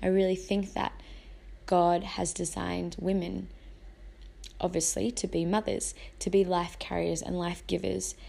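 A woman with an Australian accent talks at a fairly slow pace, with long, frequent pauses. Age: 20s. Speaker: podcast host and mother. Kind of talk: casual monologue.

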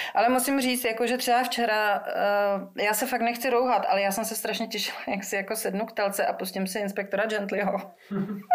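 Against noticeable background noise, a woman with a fairly high pitch talks at a fairly quick pace with fairly even intonation and hardly any pauses. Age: 40s. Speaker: singer-songwriter. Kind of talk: casual interview.

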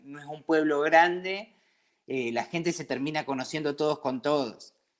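A man speaks in an Argentine accent. His pitch is fairly high. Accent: Argentine, noticeable to French locals. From Argentina, Patagonia (Comodoro Rivadavia). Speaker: brewery owner, emigrant. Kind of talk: casual interview.

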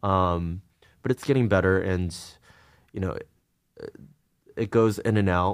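Speaking at a fairly slow pace with long, frequent pauses, the voice has a Californian accent and fairly even intonation on a very clean recording with a silent background. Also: man, very deep, low pitch for a man. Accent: General American (California). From US West Coast, Los Angeles suburbs. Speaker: artist in entertainment. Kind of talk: casual interview.

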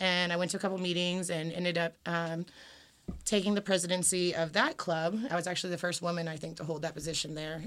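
In a very clean recording with a silent background, a woman with an American accent and fairly low pitch speaks at a fairly quick pace. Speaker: local Democratic Party activist. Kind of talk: casual interview.

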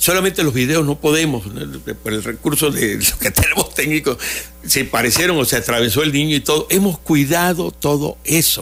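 A man is talking at a moderate pace. Music runs in the background. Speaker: children's entertainer (magician). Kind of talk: radio interview. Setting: radio studio.

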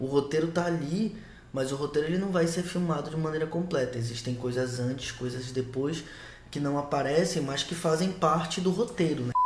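Audible room echo surrounds a man whose voice is fairly high for a man, moving at a moderate pace. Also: ordinary pitch variation. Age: 20s. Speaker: podcast co-host, historian. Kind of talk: casual film discussion podcast. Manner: halting, many repetitions.

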